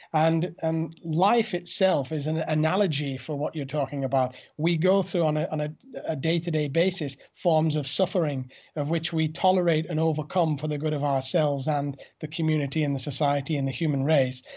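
At a fairly quick pace, the speaker uses a normal speaking voice with fairly even intonation. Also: man, fairly high pitch for a man. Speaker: podcast host. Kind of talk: interview conversation.

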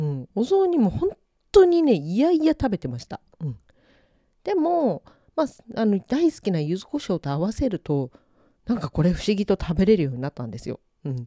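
At a moderate pace, a woman speaks at a medium pitch with a dark, mellow tone and very wide pitch swings, on a very clean, dry, close recording with a silent background and no echo. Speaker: podcast host, yuzu pepper researcher. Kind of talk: solo podcast monologue. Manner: many fillers and pauses.

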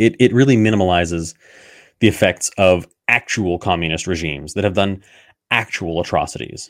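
On a very clean recording with a silent background, a man with a very deep, low pitch talks at a fairly quick pace with ordinary pitch variation. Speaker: podcast host. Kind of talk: solo talk on gender vocabulary, live-streamed. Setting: live stream, video. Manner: fast talker.

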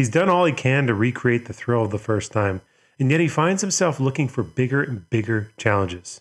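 An ordinary speaking voice from a man, medium-pitched, fairly quick, with lively intonation. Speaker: podcast host. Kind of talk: scripted intro and ad read.

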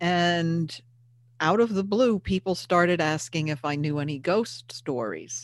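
Speaking with an American accent, a woman uses a plain, everyday voice, fairly low in pitch, at a fairly slow pace with lively intonation. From US Northeast, Hudson Valley of New York. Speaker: paranormal investigator and author. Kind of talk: casual interview.

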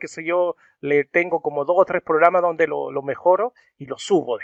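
The man's voice sits high in pitch, with a dry, close sound, no echo and a quiet background. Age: 40s. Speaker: rock music video channel host. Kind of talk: interview. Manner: halting.

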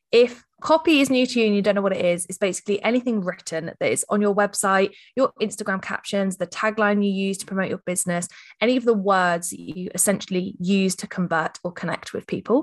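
With an English accent, a woman speaks fairly quickly at a medium pitch with ordinary pitch variation against a quiet background. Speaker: copywriting agency founder. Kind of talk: podcast interview.

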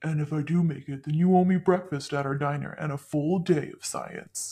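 Middle pitch with fairly even intonation, at a moderate pace. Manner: warm, teasing.

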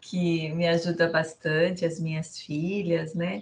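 Somewhat breathy and fairly low in pitch, a woman speaks at a very slow pace. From Brazil, Sorocaba (São Paulo state). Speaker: businesswoman and finance director. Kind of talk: casual chat.

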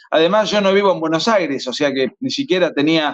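Ordinary pitch variation in an Argentine accent. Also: man. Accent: Argentine Spanish (voseo). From Argentina. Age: 40s. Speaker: author and lawyer. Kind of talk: interview.

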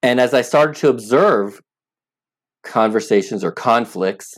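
This man uses an ordinary speaking voice and keeps his delivery at a medium speed. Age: 50s. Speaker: app founder. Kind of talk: interview.

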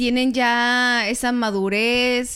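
Her recording is very clean against a silent background. The woman's intonation stays fairly even. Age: 30s. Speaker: podcast co-host. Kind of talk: casual chat.

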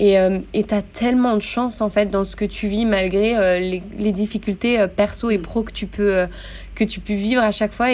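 A woman's medium-pitched voice stays monotone, with flat intonation throughout. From France, Grenoble. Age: 30s. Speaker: yoga teacher. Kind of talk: casual interview.

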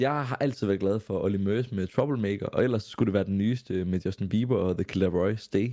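Fairly low in pitch, a man speaks at a fairly quick pace in a dark, mellow tone. The recording is very clean, with a silent background. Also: ordinary pitch variation. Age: 20s. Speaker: radio host and influencer. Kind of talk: casual interview.

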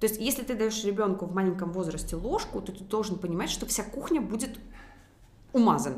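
A woman speaks with noticeable background noise. Room echo is audible. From Belarus, Minsk. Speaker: business owner, former dentist. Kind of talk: casual interview.

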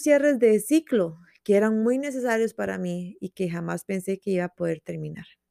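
A woman speaks at a moderate pace in a warm, dark, mellow tone. The recording is very clean and dry, close with no echo and a silent background. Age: 20s. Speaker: journalist and podcast host, psychology student. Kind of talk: personal reflective monologue. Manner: warm and intimate.

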